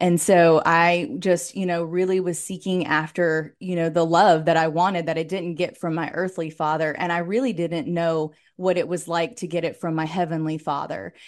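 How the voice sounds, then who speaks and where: An American accent marks this woman's fairly low voice, which moves at a moderate pace with hardly any pauses. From Florida. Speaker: wellness coach and former nurse. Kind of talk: casual interview chat; personal testimony in interview. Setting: video call. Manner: animated.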